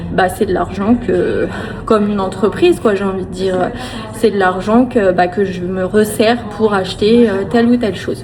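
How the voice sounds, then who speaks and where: A woman's fairly high voice at a moderate pace with ordinary pitch variation and noticeable background noise. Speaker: family vlogger. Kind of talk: casual vlog talk to camera. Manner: hesitant, many fillers.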